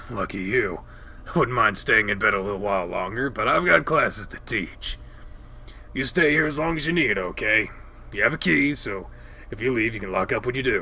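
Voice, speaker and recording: A raspy, put-on character voice from a man of medium pitch, at a fairly quick pace, with clear background noise. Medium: read story. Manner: warm, doting.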